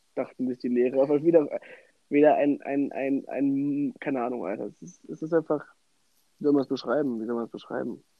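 His speech moves at a fairly quick pace. This man's voice sits fairly high. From western Germany, Bonn. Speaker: podcast co-host. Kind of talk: casual chat. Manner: animated.

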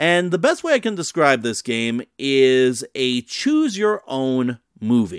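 In an unremarkable speaking voice with lively intonation, the speaker goes at a fairly slow pace on a very clean recording with a silent background and a dry, close sound with no echo. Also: man. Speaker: podcast host. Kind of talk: radio dj patter, promo-style show intro and outro.

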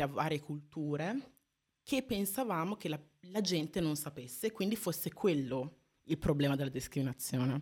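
A woman speaks at a moderate pace with lively intonation and a fairly low pitch. The recording is very clean, with a silent background. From Italy (Modena area), foreign-born parents. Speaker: activist, university student. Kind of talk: live radio interview. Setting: radio studio.

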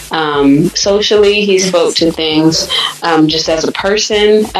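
A woman with an American accent speaks at a very slow pace and fairly low pitch. Her intonation is fairly even, with noticeable background noise behind her. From US Michigan, raised Sacramento California. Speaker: singer-songwriter and producer. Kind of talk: interview, casual chat about music career. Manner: bright, breezy, wide awake.

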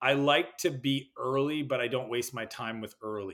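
This man has a Canadian accent and a medium pitch. His pitch varies in an ordinary way. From Canada. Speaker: entrepreneur and business coach. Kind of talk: interview.

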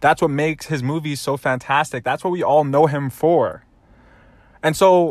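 In a very clean recording with a silent background, a man with a fairly high pitch speaks at a moderate pace in an upbeat, animated tone with ordinary pitch variation. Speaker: podcast host. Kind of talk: solo motivational monologue. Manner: upbeat, animated, motivational.

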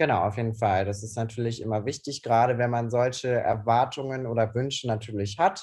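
Somewhat breathy and medium-pitched, a man talks at a fairly quick pace with fairly even intonation and hardly any pauses. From Cologne, Germany. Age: 20s. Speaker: hairdresser. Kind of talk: casual chat.

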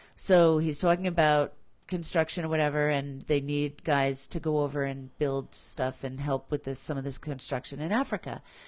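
A woman talks at a moderate pace with a very deep, low pitch and fairly even intonation. Behind her the background is quiet. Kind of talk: casual chat.

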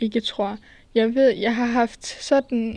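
Her pitch fairly high, a woman speaks at a very slow pace with monotone, flat intonation. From Denmark, small town. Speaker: solo podcast host. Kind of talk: casual solo monologue. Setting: outdoors. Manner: halting, many fillers.

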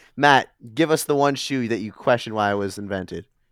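A man with an American accent talks at a fairly quick pace with very wide pitch swings. The recording is very clean, the background silent. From US Midwest (Milwaukee; Boston until ten). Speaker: camp counselor. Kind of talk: casual chat. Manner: animated.

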